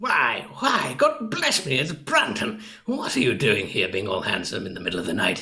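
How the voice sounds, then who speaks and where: Using a put-on character voice, a man speaks at a moderate pace, raspy and fairly high in pitch. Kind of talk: radio drama cold read.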